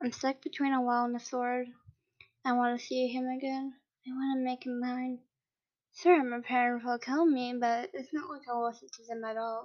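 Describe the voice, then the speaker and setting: A woman's high pitch with fairly even intonation. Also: moderate pace. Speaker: fanfiction reader podcaster. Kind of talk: reading aloud.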